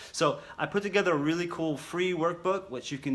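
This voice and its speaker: A man with an American accent talks at a fairly quick pace. His pitch varies in an ordinary way. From New York City. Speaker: self-help coach. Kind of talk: motivational talk to camera. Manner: fast; animated.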